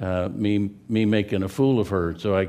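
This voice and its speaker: The speaker has an American accent. The tone is dark and mellow. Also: man. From California. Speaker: pastor. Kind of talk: sermon. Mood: humorous, relaxed. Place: church.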